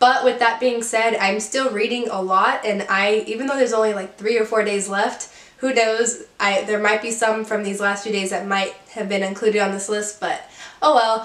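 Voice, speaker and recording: Against noticeable background noise, a woman speaks in an upbeat tone at a moderate pace with a fairly high pitch. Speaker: book reviewer. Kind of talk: casual talk to camera. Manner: chatty, upbeat.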